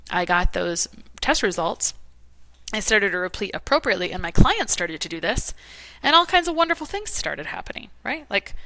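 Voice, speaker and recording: A woman speaks at a fairly quick pace and a medium pitch, animated and bright, sharp in tone, with very wide pitch swings and big swings in loudness. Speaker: holistic nutrition practitioner. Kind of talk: interview conversation. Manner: fast.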